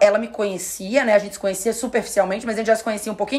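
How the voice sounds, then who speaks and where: A woman's animated voice. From Florianópolis, southern Brazil; Santa Catarina, Brazil. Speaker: podcast host and influencer-management teacher; podcast host. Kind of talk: casual chat. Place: studio.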